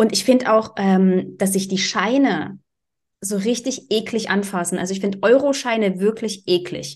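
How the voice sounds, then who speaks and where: A woman speaks in an ordinary speaking voice at a medium pitch. Her pace is moderate and her intonation fairly even. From eastern Germany, Dresden. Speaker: podcast co-host. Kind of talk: casual chat.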